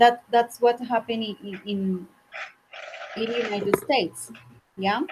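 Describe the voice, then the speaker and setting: In a Spanish accent, a woman speaks at a fairly high pitch with fairly even intonation. Long, frequent pauses break up her speech. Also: moderate pace. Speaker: English teacher. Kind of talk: online English class. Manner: halting, many fillers.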